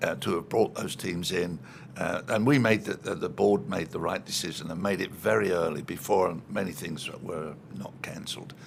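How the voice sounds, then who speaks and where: A man's very deep, low voice at a moderate pace, ordinary pitch variation, noticeable background noise. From East London, England. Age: 80s+. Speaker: retired soccer executive. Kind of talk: interview. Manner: halting.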